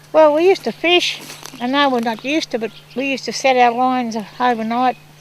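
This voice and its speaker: Ordinary pitch variation marks this very fast speech. Background noise is noticeable throughout. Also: woman, high pitch for a woman. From rural New South Wales, Australia. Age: 60s. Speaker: community elder. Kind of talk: oral history storytelling. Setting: outdoors by a river. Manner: casual, hesitant with fillers.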